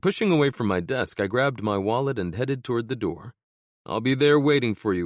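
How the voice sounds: In quiet surroundings, someone reads in a natural voice.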